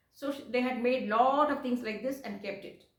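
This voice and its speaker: Audible room echo carries the voice of a woman speaking at a moderate pace with a fairly high pitch. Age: 60s. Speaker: vlogger. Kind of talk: casual personal vlog. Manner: halting, many fillers and repeats.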